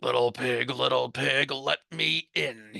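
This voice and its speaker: Putting on a character voice, a man growls at medium pitch and a fairly slow pace. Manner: growling.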